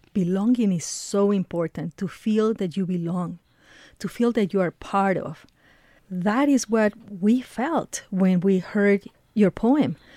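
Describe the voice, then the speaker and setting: Speaking fairly slowly with a non-native accent, a woman has a dark, mellow tone and ordinary pitch variation, heard in a dry, close sound with no echo. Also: medium pitch for a woman. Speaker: radio host. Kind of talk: radio interview. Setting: studio.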